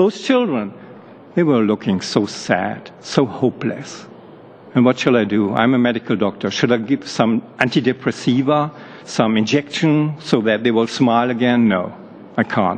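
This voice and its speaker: A man with a German accent speaks at a medium pitch and a moderate pace, with ordinary pitch variation and very even loudness. Noticeable background noise is present. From Germany. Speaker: medical doctor, human rights activist. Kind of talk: testimony to parliamentary committee. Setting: parliamentary committee hearing.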